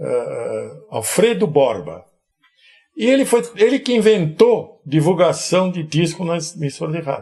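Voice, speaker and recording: This man's voice sits high for a man, with a dark, mellow tone and lively intonation. He talks at a fairly slow pace. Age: 80s+. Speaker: amplifier and electronics builder. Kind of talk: interview. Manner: casual, anecdotal.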